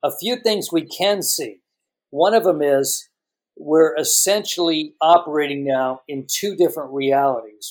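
With an unremarkable speaking voice, a man talks at a moderate pace and a fairly high pitch with ordinary pitch variation. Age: 60s. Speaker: tech journalist and author. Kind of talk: interview.

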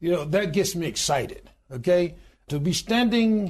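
Lively intonation marks this fairly slow delivery in an American accent. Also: man. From US Deep South, Alabama. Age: 60s. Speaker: union president and pastor. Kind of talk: interview.

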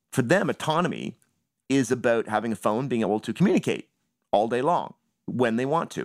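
A man speaks at a fairly quick pace with a Canadian accent. The recording is dry and close, with no echo. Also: very clean recording, silent background. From Canada, Toronto. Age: 40s. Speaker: writer. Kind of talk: interview.

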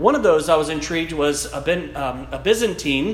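Someone with a South Louisiana accent talks at a moderate pace amid audible room echo and noticeable background noise. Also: man. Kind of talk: lecture. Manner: halting.

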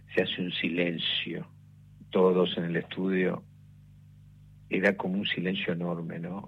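A man with a very deep, low voice speaks at a fairly slow pace. He leaves long, frequent pauses. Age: 60s. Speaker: radio director and former DJ. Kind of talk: radio interview.

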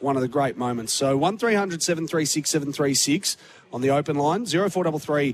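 A fairly high-pitched man in an Australian accent, fairly slow in pace, with lively intonation. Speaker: sports radio host. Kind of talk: live sports radio talkback. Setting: radio studio at a public venue.

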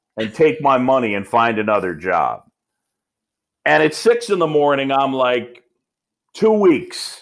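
With a slight New York accent, a man speaks at a fairly slow pace, his pitch swinging very wide between long, frequent pauses. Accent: mild New York. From New York, Roosevelt Island. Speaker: baseball play-by-play announcer. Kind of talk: interview. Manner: laid back.

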